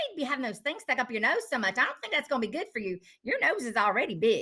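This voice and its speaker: With an Appalachian accent, a high-pitched woman talks at a very fast pace, her pitch swinging very widely. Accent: Appalachian mountain. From North Carolina mountains. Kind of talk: casual chat.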